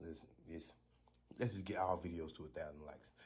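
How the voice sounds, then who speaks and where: A man with a very deep, low voice and a dark, mellow, somewhat breathy tone talks at a fairly quick pace, with audible echo from the room. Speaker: street car racer and vlogger. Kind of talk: casual vlog talk. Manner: soft-spoken.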